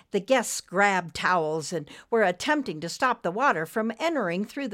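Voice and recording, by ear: The text is read aloud in a natural voice.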